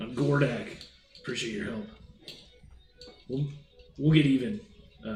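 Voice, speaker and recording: A raspy, put-on character voice from a man at medium pitch, moderate in pace, with long, frequent pauses, big swings in loudness and a slight echo. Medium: actual play. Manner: casual, friendly.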